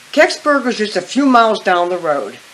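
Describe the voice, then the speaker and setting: Over noticeable background noise, a woman with an American accent speaks at a moderate pace, her medium-pitched voice carrying lively intonation. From western Pennsylvania. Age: 60s. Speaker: eyewitness interviewee. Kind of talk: interview.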